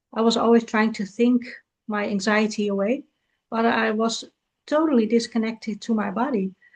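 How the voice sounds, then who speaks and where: This woman has a non-native accent and a fairly high pitch. She keeps a moderate pace and a fairly even intonation. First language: not English. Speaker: podcast host and coach. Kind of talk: interview conversation.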